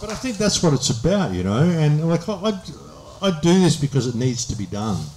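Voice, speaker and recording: A man in an Australian accent, with very wide pitch swings. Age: 60s. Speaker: speaker on a public talk tour. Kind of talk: audience Q&A.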